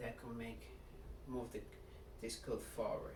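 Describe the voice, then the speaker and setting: The speaker has a Nigerian accent. Noticeable background noise and audible room echo fill the recording. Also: man. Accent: clear Nigerian. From Nigeria, Lagos. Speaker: speaker introducing himself. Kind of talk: personal introduction speech. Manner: halting, with self-corrections.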